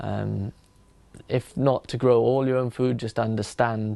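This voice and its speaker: A man with a South Welsh accent speaks in a dark, mellow tone with monotone, flat intonation. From Swansea, South Wales. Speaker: apprentice applicant. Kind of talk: interview answer.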